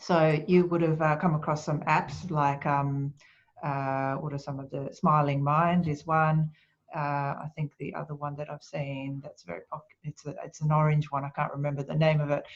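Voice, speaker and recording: At a moderate pace, a woman speaks at a very deep, low pitch, somewhat breathy and monotone, with big swings in loudness. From Japan. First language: Japanese. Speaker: speaker and author on quiet leadership. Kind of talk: webinar Q&A. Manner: calm, soft-spoken.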